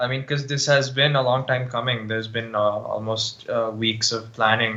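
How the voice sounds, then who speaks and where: A man with an American accent speaks at a moderate pace in a medium pitch, his intonation monotone and flat. Noticeable background noise and audible room echo fill the recording. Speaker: podcast co-host. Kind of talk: casual chat. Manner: halting, many fillers.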